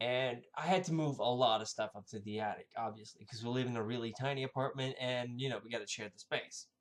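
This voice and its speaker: This man talks at a very fast pace with hardly any pauses, at a medium pitch with ordinary pitch variation. His loudness swings widely. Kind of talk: casual storytelling to camera.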